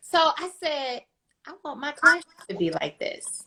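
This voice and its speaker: A woman uses a raised, projected voice with a bright, sharp tone. She speaks fairly slowly, with very wide pitch swings. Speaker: teacher. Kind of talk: casual chat.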